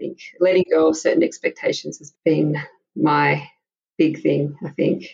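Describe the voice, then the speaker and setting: A woman is talking here. Her speech carries an Australian accent. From Australia, Melbourne. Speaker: mother sharing her story. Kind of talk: interview testimony. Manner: halting.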